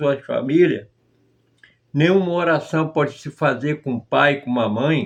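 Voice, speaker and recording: Using an ordinary speaking voice, a man talks at a fairly high pitch and a fairly slow pace with ordinary pitch variation. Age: 60s. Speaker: former member of a religious group. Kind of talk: testimony.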